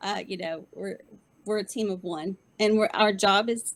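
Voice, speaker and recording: At a moderate pace, a woman with a medium pitch speaks in a Southern US accent with vocal fry. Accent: sweet Southern. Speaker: veteran employment team leader. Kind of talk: panel interview.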